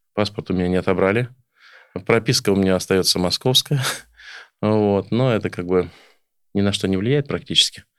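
A man at fairly low pitch and moderate pace, ordinary pitch variation, long, frequent pauses, in a very clean recording with a silent background. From Oryol region, Russia. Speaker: folk accordionist and village farmer. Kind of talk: casual interview chat. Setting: studio.

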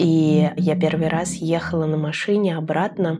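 Dark and mellow in tone, a woman's voice sits at a fairly low pitch with fairly even intonation. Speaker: podcast host. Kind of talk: podcast intro and outro monologue.

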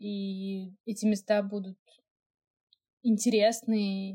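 A woman's somewhat breathy, medium-pitched voice with a dark, mellow tone and monotone, flat intonation. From Russia, Moscow. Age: 20s. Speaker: podcast co-host, technical designer. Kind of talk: casual chat.

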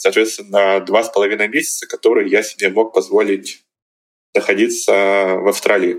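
A man talks at a moderate pace. His loudness stays very even throughout. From Russia, Izhevsk (Udmurtia, Volga region). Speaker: master's student and traveller. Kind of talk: interview.

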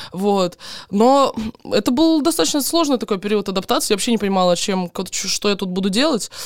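Talking at a fairly quick pace, a woman with a plain, everyday voice and medium pitch uses lively intonation. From Donetsk region, Ukraine. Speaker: guest, blogger.

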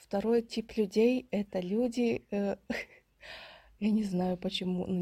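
In a very clean recording with a silent background, a woman's somewhat breathy voice sits at medium pitch with ordinary pitch variation. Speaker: podcast co-host. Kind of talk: casual chat.

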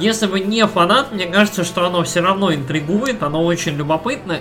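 A man speaks with a high pitch for a man. Noticeable background noise runs underneath. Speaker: video game podcast co-host. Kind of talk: casual chat. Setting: remote online recording.

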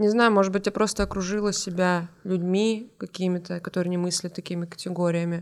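A woman's medium-pitched voice at a fairly quick pace, in a monotone with flat intonation. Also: hardly any pauses, very clean recording, silent background. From North Ossetia. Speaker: stand-up comedian. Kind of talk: casual chat.

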